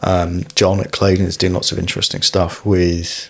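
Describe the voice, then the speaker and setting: With an English accent, a man speaks in a very deep, low, monotone voice with flat intonation, and noticeable background noise sits behind him. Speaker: podcast host, bike mechanic. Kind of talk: casual interview.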